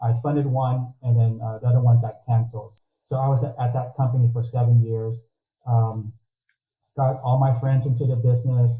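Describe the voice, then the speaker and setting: A man's somewhat breathy, dark, mellow voice at a medium pitch, fairly quick in pace and monotone, flat in intonation. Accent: American. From Texas, Corpus Christi. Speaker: mortgage consultant. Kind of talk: interview.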